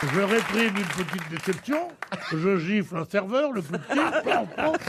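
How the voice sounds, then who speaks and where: Crowd noise fills the background as a man speaks at a moderate pace. His pitch is high and swings very widely. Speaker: radio humorist doing monologue sketches on a radio panel show. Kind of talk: comic monologue on a radio show.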